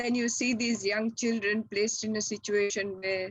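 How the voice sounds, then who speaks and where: A woman with an unremarkable speaking voice talks at a fairly slow pace in a medium pitch. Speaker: retired chemistry professor and scientist. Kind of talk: interview answer.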